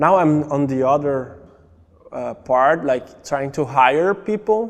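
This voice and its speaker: With a Brazilian accent, a man speaks at a fairly slow pace with ordinary pitch variation. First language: Portuguese. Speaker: immigrant, marketing coordinator. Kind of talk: documentary interview.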